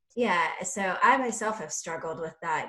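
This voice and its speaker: A woman speaks. The room echo is audible. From South Carolina. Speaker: podcast host. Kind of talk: interview.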